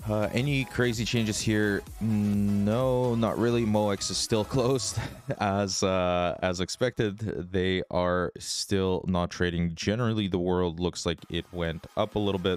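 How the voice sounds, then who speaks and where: A man with a fairly low pitch talks at a fairly slow pace, his intonation fairly even and his loudness very even. Music plays in the background. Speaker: trading livestreamer. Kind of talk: livestream market commentary. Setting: livestream. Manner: casual.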